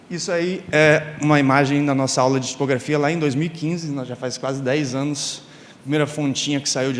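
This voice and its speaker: Noticeable background noise and audible room echo accompany a man talking at a moderate pace, his fairly high pitch showing ordinary variation. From Brazil, Rio de Janeiro state (Campos dos Goytacazes). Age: 30s. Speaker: graphic and type designer, conference speaker. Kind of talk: conference talk. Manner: casual, with many fillers.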